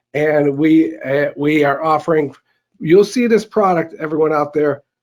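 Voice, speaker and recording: In a Chicago accent, a man with a fairly high pitch talks at a moderate pace with lively intonation. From US Midwest, south side of Chicago. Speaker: company CEO, presenter. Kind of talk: conference presentation.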